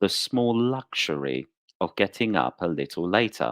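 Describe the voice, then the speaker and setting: Someone with a British accent speaks very slowly, the pitch swinging very widely. The sound is dry and close with no echo, on a very clean recording with a silent background. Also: man. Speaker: English teacher. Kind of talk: story reading. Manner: slow, clear.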